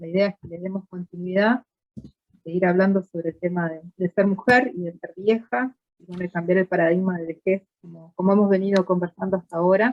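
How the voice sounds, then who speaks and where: With an ordinary speaking voice, a woman talks at a fairly quick pace and medium pitch, with big swings in loudness. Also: fairly even intonation. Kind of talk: live stream host introduction.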